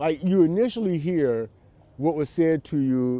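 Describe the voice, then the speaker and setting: A man's dark, mellow voice with an American accent and very wide pitch swings. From United States. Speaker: interviewee sharing trauma experience. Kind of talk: personal testimony interview. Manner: halting, many repetitions.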